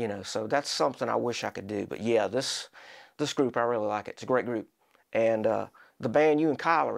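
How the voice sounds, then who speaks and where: This man has a medium-pitched, normal speaking voice with ordinary pitch variation, talking at a fairly quick pace on a very clean recording with a silent background. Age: 60s. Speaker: local rock musician, drummer. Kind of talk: casual interview chat.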